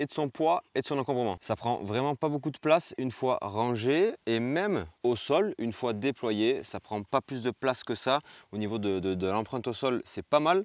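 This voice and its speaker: A man speaks fairly slowly with lively intonation in a dry sound with no echo. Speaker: outdoor gear reviewer. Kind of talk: product review vlog. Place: tent. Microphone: lapel.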